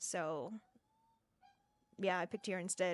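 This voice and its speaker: A woman's speech moves at a moderate pace, its pitch varying in an ordinary way. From Singapore. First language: not English. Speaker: theatre graduate training as nurse. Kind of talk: casual chat.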